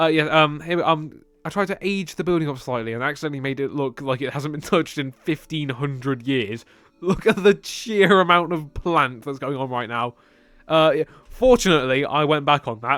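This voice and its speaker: Speaking at a moderate pace, a man with a British accent has a fairly high pitch and ordinary pitch variation. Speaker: video game builder and commentator. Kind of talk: gameplay voiceover commentary. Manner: calm; halting, many fillers and restarts.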